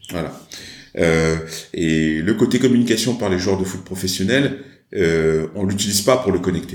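A man speaks fairly slowly with a very deep, low pitch and ordinary pitch variation. Long, frequent pauses break up his speech, and the room echo is audible. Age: 40s. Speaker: entrepreneur. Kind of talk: interview. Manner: halting.

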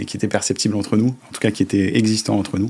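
His pitch sits fairly low. The man's delivery is very fast. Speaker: company director. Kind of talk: interview. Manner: hesitant with many fillers.

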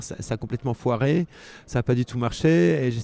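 This man speaks at a moderate pace with a medium pitch and a dark, mellow tone. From Switzerland, Geneva. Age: 60s. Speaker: travel writer and long-distance cyclist. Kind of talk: interview. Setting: cycling festival. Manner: halting, many fillers.

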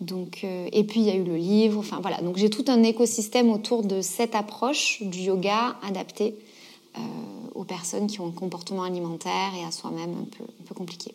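Fairly even intonation and a moderate pace come with big swings in loudness, all over noticeable background noise. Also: woman, medium pitch for a woman. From southern France, Gard. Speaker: yoga teacher and author. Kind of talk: interview.

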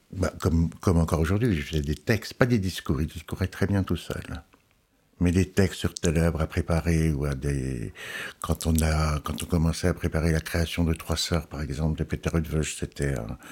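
On a very clean recording with a silent background, a man with a very deep, low voice and vocal fry speaks at a moderate pace with ordinary pitch variation. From Alsace, France. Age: 60s. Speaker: opera publications editor. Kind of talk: interview. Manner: halting.

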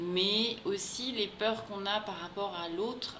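A woman's medium-pitched voice at a very slow pace, fairly even in intonation, with noticeable background noise and audible room echo. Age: 30s. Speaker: expatriate spouse. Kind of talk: interview.

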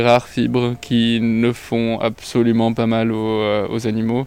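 A man's voice at medium pitch. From Lebanon. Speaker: fashion design student. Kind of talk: interview.

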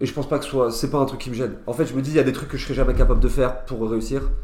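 With audible room echo, a man speaks at a very fast pace in a monotone, flat intonation. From France, Nancy (Lorraine). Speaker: stand-up comedian. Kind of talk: casual chat.

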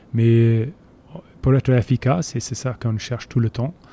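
Recorded dry and close with no echo, a man speaks fairly slowly at a medium pitch, his tone dark and mellow and his intonation fairly even. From Scotland, Borders (Jedburgh). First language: English (speaking French). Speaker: rugby team manager. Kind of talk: interview. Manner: halting.

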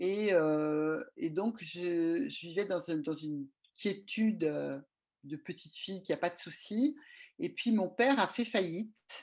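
The background is quiet as a woman talks very slowly. Her intonation is lively. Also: medium pitch for a woman. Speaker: regulatory affairs consultant. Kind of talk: interview. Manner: halting.

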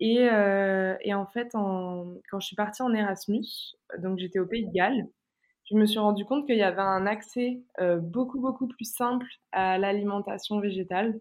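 A woman's ordinary speaking voice at medium pitch, fairly slow pace and fairly even intonation. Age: 20s. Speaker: plant-based nutrition content creator. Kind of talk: casual interview chat.

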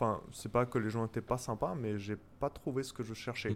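Intonation remains fairly even. The speech moves at a moderate pace. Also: man. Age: 30s. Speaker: software developer. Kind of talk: casual chat. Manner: hesitant.

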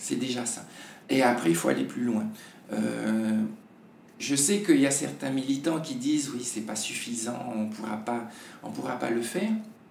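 A man of medium pitch speaks with lively intonation and long, frequent pauses. Room echo is audible. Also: moderate pace. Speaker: TV presenter. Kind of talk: casual interview. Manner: halting.

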